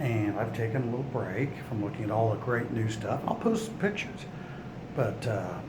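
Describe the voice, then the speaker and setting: A man at medium pitch talks at a moderate pace with fairly even intonation, amid audible room echo and noticeable background noise. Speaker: RV vlogger. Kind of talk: casual video tour narration. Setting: indoors in a museum. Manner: hesitant, many fillers.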